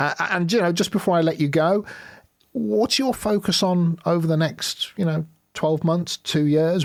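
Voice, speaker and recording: On a very clean recording with a silent background, a man talks at a moderate pace. He has a normal speaking voice and lively intonation. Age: 50s. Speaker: podcast host. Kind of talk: interview.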